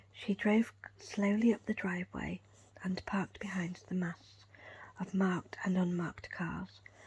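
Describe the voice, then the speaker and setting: A soft-spoken woman whispering in a calm, somewhat breathy tone at a fairly slow pace. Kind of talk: ASMR whisper book reading with finger tracing. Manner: whispered, calm, soft.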